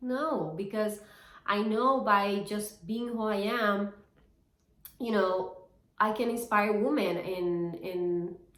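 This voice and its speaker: A woman at medium pitch speaks at a very slow pace with long, frequent pauses and ordinary pitch variation, and audible room echo surrounds her. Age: 40s. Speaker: fitness and reselling vlogger. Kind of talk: personal vlog monologue. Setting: talking to camera. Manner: casual, halting with fillers.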